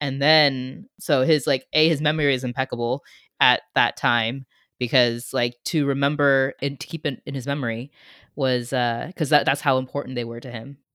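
A woman's very deep, low voice with an American accent and monotone, flat intonation, dry and close with no echo. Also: moderate pace, very clean recording, silent background. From US, San Francisco Bay Area. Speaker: guest host, sibling of the late father. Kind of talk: casual chat.

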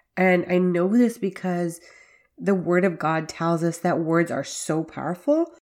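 A woman's normal speaking voice, fairly low in pitch, at a fairly slow pace with fairly even intonation, on a very clean recording with a silent background. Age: 40s. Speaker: faith-based podcast host for working mothers. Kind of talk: solo podcast monologue with devotional teaching.

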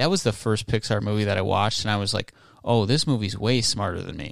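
A man's normal speaking voice, fairly low in pitch and with ordinary pitch variation, comes through in a very clean recording with a silent background. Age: 20s. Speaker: podcast host. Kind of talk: casual chat.

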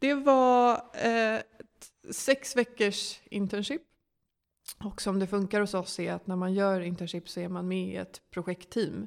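Recorded very cleanly against a silent background, a woman with an ordinary speaking voice speaks at medium pitch and a fairly slow pace. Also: ordinary pitch variation. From Sweden, Stockholm. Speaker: management consultant. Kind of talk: interview.

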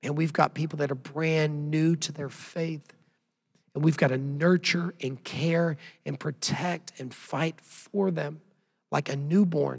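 A man with an American accent talks at a fairly slow pace in a fairly high pitch. His voice is somewhat breathy, with fairly even intonation. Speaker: pastor. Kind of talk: sermon.

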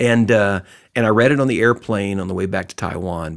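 A man talks with a Texan accent and ordinary pitch variation. His recording is very clean, with a silent background. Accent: Texan American. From Texas. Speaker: retired businessman and lay ministry leader. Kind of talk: casual interview.

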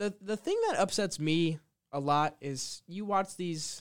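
At a fairly slow pace, a man talks in an ordinary speaking voice with ordinary pitch variation, the recording very clean with a silent background. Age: 20s. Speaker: podcast co-host. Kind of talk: casual chat.

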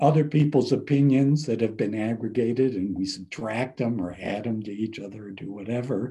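A man with a dark, mellow tone speaks somewhat breathily at a moderate pace. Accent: American. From Cleveland, Ohio, US Midwest. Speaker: business professor. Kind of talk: interview.

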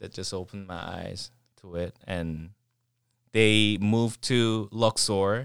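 In a very clean recording with a silent background, a man speaks at a very slow pace. His intonation is fairly even, with big swings in loudness. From South Korea, Seoul. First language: Korean. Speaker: professional dancer. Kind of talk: casual chat. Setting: attic, no studio.

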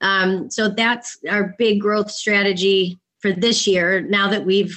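In an American accent, a woman with a medium pitch and a plain, everyday voice speaks at a fairly slow pace. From Chicago, US Midwest. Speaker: entrepreneur, former Wall Street tech sales. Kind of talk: interview.

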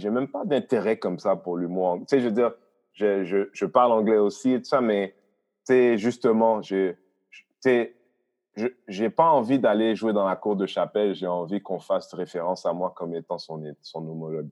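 Fairly low in pitch, a man talks at a moderate pace with ordinary pitch variation. His is a plain, everyday voice. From Haiti. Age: 40s. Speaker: comedian and comedy producer. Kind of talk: casual chat.

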